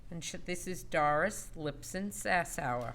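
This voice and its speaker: A woman speaks loudly at a fairly slow pace, her pitch fairly low with ordinary variation. Her tone is bright and sharp. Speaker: award presenter. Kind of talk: award introduction.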